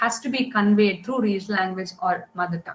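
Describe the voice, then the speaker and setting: A woman with a Karnataka accent and lively intonation. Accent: Indian English (Kannada). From India, Karnataka. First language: Kannada. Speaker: science writer and communicator. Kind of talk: public talk. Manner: halting.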